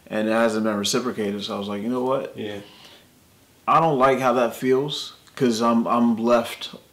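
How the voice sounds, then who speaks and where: His intonation stays fairly even as the man talks. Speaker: interviewee. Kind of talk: interview answer. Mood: reflective, candid. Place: studio.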